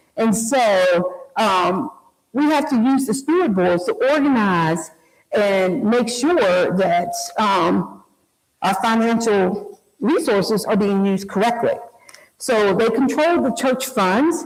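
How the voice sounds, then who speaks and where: Speech moves at a very slow pace with lively intonation and very even loudness. Audible room echo surrounds it. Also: woman, fairly high pitch for a woman. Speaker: community historian and speaker. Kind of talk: public history lecture. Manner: occasional stumbles over words; conversational, animated.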